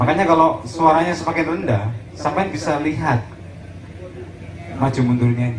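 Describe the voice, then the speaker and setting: A fairly high-pitched male voice with long, frequent pauses, audible room echo and noticeable background noise. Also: lively intonation, moderate pace. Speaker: sound system operator teaching a workshop. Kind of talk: workshop lecture. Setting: community gathering, outdoor field with audience. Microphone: poor recorded sound quality.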